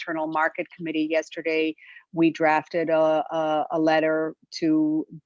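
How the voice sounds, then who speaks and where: The woman's voice sits fairly low in pitch. The recording is dry and close, with no echo. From Greece. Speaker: member of parliament. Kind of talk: panel discussion. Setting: video call.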